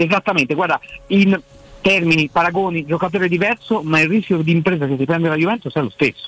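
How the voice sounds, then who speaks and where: Someone talks at a very fast pace with ordinary pitch variation, in a dry, close sound with no echo and noticeable background noise. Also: man, high pitch for a man. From Florence. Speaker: sports journalist. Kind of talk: casual chat.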